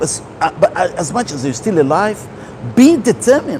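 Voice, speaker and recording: A man speaks high in his range, with noticeable noise behind him. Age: 60s. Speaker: holistic health speaker. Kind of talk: motivational talk.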